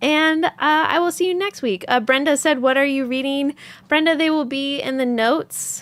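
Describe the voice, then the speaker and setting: The recording is very clean with a silent background. A woman speaks at a moderate pace in a high voice with ordinary pitch variation. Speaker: yarn dyer and live-stream host. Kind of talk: live stream chat. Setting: studio. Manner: halting, many fillers.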